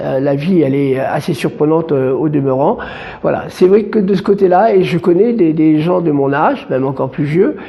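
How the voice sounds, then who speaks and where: Over noticeable background noise, a man talks at a moderate pace with fairly high pitch and lively intonation. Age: 60s. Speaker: association activist. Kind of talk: interview. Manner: halting, many fillers and repetitions.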